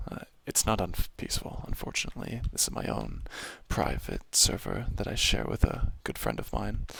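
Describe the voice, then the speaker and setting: Soft-spoken, a man talks at a moderate pace with big swings in loudness. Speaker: ASMR gaming creator. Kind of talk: softly spoken ASMR gameplay commentary. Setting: home apartment.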